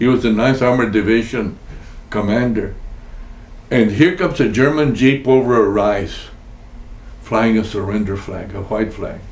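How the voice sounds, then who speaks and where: Over noticeable background noise and audible room echo, a man speaks at a moderate pace. His pitch is medium with ordinary variation. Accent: American. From Texas. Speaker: war veteran. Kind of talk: oral history interview. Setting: at his home.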